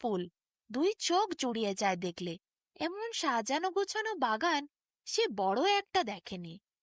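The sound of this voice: Over a dry, close sound with no echo, a woman speaks at a fairly slow pace with big pitch swings.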